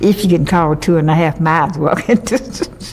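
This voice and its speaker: A woman with a Southern US accent, noticeable background noise behind her. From US South, western North Carolina. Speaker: oral history interviewee. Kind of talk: oral history interview. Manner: halting.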